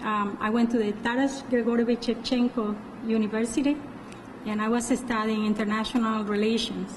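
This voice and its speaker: A woman talks fairly quickly in a fairly high pitch with a strong non-native accent and monotone, flat intonation. Noticeable background noise is present. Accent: heavy foreign. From Colombia. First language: Spanish. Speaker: parole officer. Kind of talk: interview. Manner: halting.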